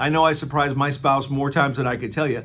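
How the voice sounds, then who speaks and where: A man with an American accent at medium pitch and a fairly quick pace, with audible room echo. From US Midwest, Aurora, Illinois. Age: 60s. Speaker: travel company owner and navy veteran. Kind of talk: promotional monologue. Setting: office. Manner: casual, with many fillers.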